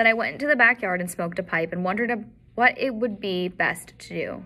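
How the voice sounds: A natural voice reads with ordinary pitch variation.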